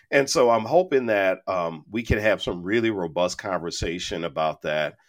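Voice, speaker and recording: With an unremarkable speaking voice, a man talks at a moderate pace and fairly low pitch, his intonation lively. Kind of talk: casual interview chat. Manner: humorous, easygoing.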